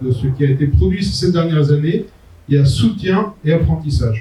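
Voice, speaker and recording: Fairly high-pitched, a man speaks at a fairly slow pace with very wide pitch swings. Audible room echo surrounds his voice. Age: 60s. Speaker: entrepreneur and management consultant giving a talk. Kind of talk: conference talk. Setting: conference venue with audience. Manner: hesitant, frequent euh.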